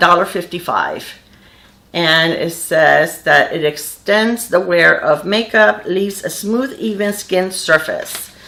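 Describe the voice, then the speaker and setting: The voice has a bright, sharp tone and ordinary pitch variation. It moves at a fairly slow pace. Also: woman. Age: 60s. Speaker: beauty vlogger. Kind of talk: makeup tutorial. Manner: casual, with many fillers.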